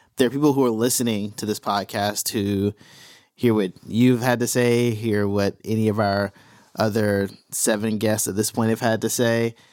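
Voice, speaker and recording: A man with a plain, everyday voice speaks at a moderate pace and fairly low pitch, with fairly even intonation, on a very clean recording with a silent background. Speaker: podcast host. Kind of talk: interview. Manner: casual, friendly.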